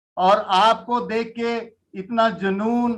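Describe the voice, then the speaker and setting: A man speaks at a high pitch. His intonation is monotone and flat. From Jammu, India. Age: 60s. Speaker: network marketing leader. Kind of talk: interview testimony.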